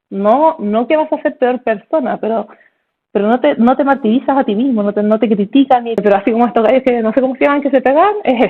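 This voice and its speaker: The speaker talks in a Chilean accent at a fairly quick pace, sounding animated and using ordinary pitch variation. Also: woman, high pitch for a woman. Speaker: neurologist. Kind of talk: casual chat. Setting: video call. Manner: fast.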